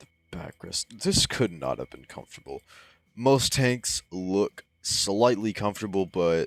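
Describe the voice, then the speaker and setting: The intonation is lively and the pace fairly slow on a very clean recording with a silent background and a dry, close sound with no echo. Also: man. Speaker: gaming YouTuber. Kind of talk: gameplay commentary.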